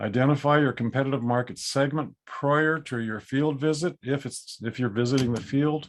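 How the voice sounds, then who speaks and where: A man talks in a normal speaking voice at a medium pitch. His intonation stays fairly even. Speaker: appraisal educator. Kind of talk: webinar lecture. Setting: video call.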